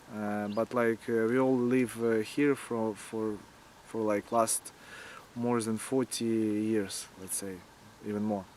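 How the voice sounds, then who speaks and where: With a Ukrainian accent, a man speaks at a very slow pace. His medium-pitched voice stays monotone and flat. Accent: Ukrainian Russian-speaker accent in English. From Ukraine, Kyiv. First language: Russian. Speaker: antifascist activist and war volunteer. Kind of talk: interview. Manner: halting, many filler words.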